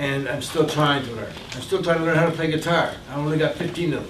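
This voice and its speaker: This man speaks amid noticeable background noise, with audible room echo. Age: 60s. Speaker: community advocate and economic consultant. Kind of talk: Q&A talk to an audience. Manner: hesitant, with fillers and repetitions.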